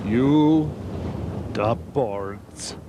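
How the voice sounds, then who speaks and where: Putting on a character voice at a medium pitch, a man speaks over clear background noise. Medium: comedy sketch. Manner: deadpan.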